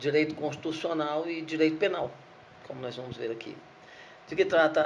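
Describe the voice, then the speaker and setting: Audible room echo around a fairly high male voice at a moderate pace. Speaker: law professor. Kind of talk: lecture. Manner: halting, repeats words.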